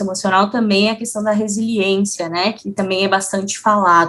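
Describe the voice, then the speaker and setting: A woman with a southern Brazilian accent, medium pitch, ordinary pitch variation and a fairly quick pace. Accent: gaúcho Brazilian Portuguese. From Rio Grande do Sul, Brazil. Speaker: psychologist and HR manager. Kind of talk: interview.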